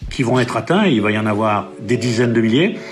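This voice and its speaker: A man talks fairly quickly, with audible room echo and noticeable noise in the background. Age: 60s. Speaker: general practitioner. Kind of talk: interview.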